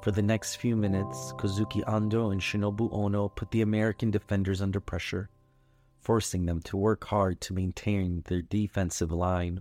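A man's dramatic, soothing tone at a moderate pace, with music in the background. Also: dry, close sound with no echo. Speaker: bedtime story narrator. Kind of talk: scripted bedtime story narration. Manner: soothing, calm, gentle; dramatic, storytelling build-up.

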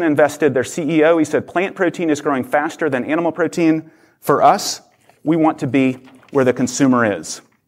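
He is a man with a fairly high pitch and a normal speaking voice. His pace is fairly quick. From Oklahoma. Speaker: nonprofit leader. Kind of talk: conference talk. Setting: stage with audience.

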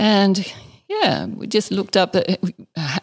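A woman in an Australian accent with vocal fry, moderate pace and ordinary pitch variation. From Western Australia and Northern Territory. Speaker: distillery co-founder and author. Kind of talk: interview. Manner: measured.

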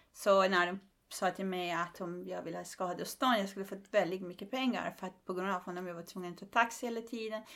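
A woman with a Persian accent speaks at a fairly quick pace with fairly even intonation. Her loudness swings widely. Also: medium pitch for a woman, very clean recording, silent background. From Iran. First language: Persian (speaking Swedish). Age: 50s. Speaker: comedian and human rights activist. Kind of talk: casual interview.

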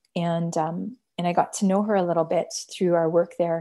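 With a Canadian accent, a woman speaks at a fairly low pitch and a moderate pace. Her intonation is fairly even, and music plays in the background. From Canada. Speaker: social entrepreneur and fashion brand founder. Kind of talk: interview conversation. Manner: hesitant, many fillers.

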